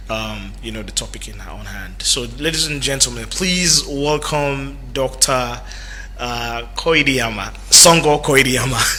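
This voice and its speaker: A man at a fairly slow pace, with big swings in loudness, audible room echo and noticeable background noise. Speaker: radio talk show host. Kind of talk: radio talk show interview. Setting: radio studio.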